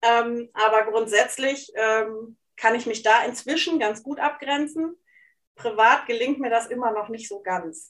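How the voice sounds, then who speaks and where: A woman speaks in an ordinary speaking voice with a fairly high pitch, ordinary pitch variation and big swings in loudness at a fairly slow pace, on a very clean recording with a silent background. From Hesse and East Frisia, Germany. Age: 40s. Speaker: life coach and journalist. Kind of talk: casual interview conversation.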